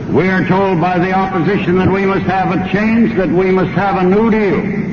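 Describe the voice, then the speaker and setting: A man's high, monotone voice with flat intonation, very even loudness and an American accent, over noticeable background noise. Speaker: politician, former president giving a campaign speech. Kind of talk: political campaign speech. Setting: radio broadcast from a rally, 1932 recording, slowed by 12%.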